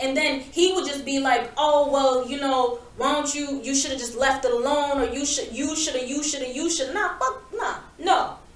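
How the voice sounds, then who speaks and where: A loud, animated woman's voice, high-pitched, at a moderate pace with hardly any pauses, plus audible room echo and noticeable background noise. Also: ordinary pitch variation. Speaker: podcast co-host. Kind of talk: casual chat.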